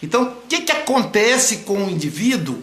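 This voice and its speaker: A man's high-pitched, raised and projected voice, with audible room echo and noticeable background noise. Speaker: psychoanalyst. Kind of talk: live stream lecture. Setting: online live broadcast.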